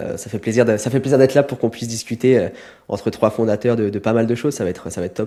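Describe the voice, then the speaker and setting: Talking at a very fast pace, a man uses a medium pitch and a dark, mellow tone. His intonation is fairly even. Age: 20s. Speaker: entrepreneur, B2B acquisition freelancer. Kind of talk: podcast interview.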